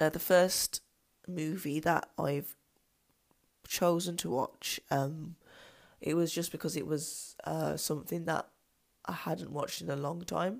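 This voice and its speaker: A woman with a very deep, low pitch and vocal fry speaks at a very slow pace, with long, frequent pauses and fairly even intonation. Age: 30s. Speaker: podcast host, movie reviewer. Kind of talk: solo podcast monologue, movie discussion. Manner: halting, many fillers.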